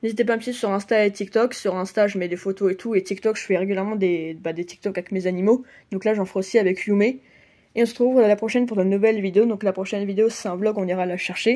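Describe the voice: Talking fast, a woman with a nasal, dark, mellow tone speaks at a medium pitch with ordinary pitch variation.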